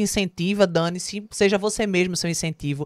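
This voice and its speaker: Recorded with a dry, close sound and no echo, a woman speaks in an animated tone, fairly low in pitch, at a moderate pace. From Pernambuco, Brazil (Olinda/Recife). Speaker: singer, actress and TV presenter. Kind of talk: interview. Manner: talkative, animated.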